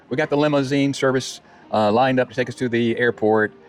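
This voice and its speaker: Music plays in the background as a man talks at a very fast pace with ordinary pitch variation. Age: 70s. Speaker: retiree vlogger. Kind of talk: casual chat. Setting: outdoors. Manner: halting.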